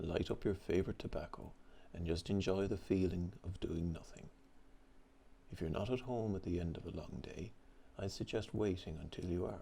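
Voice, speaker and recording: A man with an Irish accent speaks at a moderate pace in a very deep, low, somewhat breathy voice, dark and mellow, with ordinary pitch variation. His tone is calm and relaxed, with long, frequent pauses. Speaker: pipe-smoking storyteller. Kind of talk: calm story narration. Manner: calm, relaxed.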